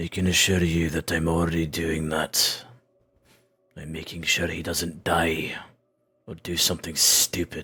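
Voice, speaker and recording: A man puts on a raspy character voice with very deep, low pitch, a flat monotone delivery, a moderate pace and long, frequent pauses. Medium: actual play. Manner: terse, guarded.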